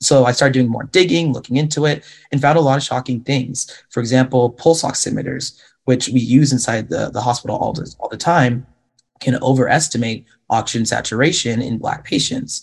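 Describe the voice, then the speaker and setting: In an American accent, a man at medium pitch speaks at a fairly quick pace, somewhat breathy, with fairly even intonation. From Washington State, US. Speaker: medical student and social media health educator. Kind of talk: panel discussion.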